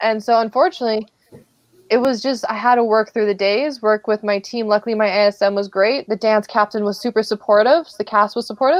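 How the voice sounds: Fairly high in pitch, a woman talks at a fairly quick pace with fairly even intonation.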